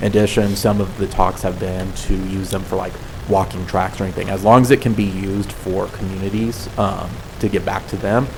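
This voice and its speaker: Over noticeable background noise and audible room echo, a soft-spoken man with an American accent talks in a fairly low, flat monotone. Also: fairly quick pace. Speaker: public health program worker presenting to council. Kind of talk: presentation and Q&A at council meeting. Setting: city council meeting.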